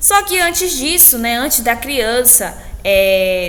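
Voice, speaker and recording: Noticeable background noise and audible room echo surround a woman's voice. She speaks at a fairly high pitch and a moderate pace. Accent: Brazilian. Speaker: teacher. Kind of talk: lecture. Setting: recorded alone after a live class.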